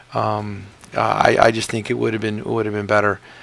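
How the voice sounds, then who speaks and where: A man is speaking at a fairly quick pace. Noticeable background noise runs under his voice. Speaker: gaming commentator. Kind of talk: game commentary. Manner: casual, hesitant.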